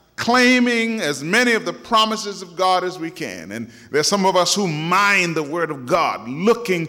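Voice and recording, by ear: A passage read aloud in a natural voice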